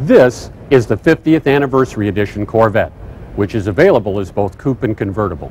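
Over light background noise, a man speaks at a fairly quick pace with lively intonation. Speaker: presenter. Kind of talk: presentation to camera. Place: hall. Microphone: lapel.

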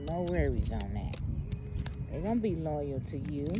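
Over music in the background, a woman talks at a fairly slow pace, and the sound is dry, with no echo. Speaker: tarot reader. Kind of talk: tarot reading to viewers. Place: open country. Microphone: phone near.

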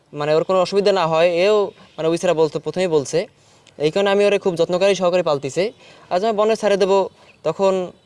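The intonation stays fairly even, and the sound is dry and close with no echo. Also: man, high pitch for a man, very even loudness. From Bangladesh, Jhalokati district. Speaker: forest department worker. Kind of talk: interview.

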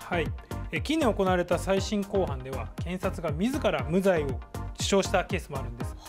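A man at a moderate pace, with clear music playing in the background. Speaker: news reporter. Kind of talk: TV news report. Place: studio. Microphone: lapel.

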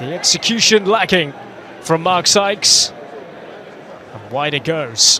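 Against noticeable background noise, a man with a high voice talks at a fairly slow pace with lively intonation and long, frequent pauses. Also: big swings in loudness. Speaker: football commentator. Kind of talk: live football match commentary. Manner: builds excitement in short bursts as chances come.

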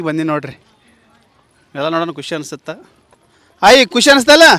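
The man's voice has a bright, sharp tone. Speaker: vlogger. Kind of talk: casual family vlog. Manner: animated.

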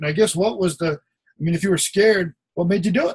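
The background is silent. Against it, a man talks with an American accent. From Washington State, US. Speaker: martial arts school owner and interviewer; interviewer. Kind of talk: interview. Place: home room. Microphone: video call.

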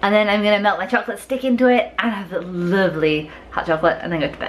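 Over faint background music, a woman talks fast at a medium pitch with fairly even intonation.

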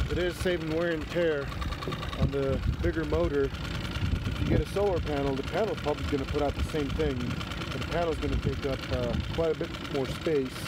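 Loud background noise accompanies a dry sound with no echo. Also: moderate pace. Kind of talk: casual tutorial commentary. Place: boat.

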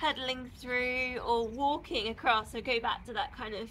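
A woman speaks in a raised, projected voice at a moderate pace. Light background noise can be heard. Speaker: yoga instructor. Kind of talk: tutorial. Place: open country. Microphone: camera far.

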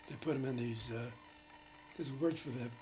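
A man with an American accent moves at a fairly quick pace while noticeable background noise carries on. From Brooklyn, New York. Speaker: war veteran. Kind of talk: interview answer. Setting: home. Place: home room.

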